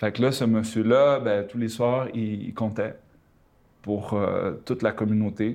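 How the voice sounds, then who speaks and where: The delivery is very slow, with monotone, flat intonation. Behind it the background is quiet. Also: man, medium pitch for a man. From Panama and Quebec. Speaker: storyteller. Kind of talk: casual chat.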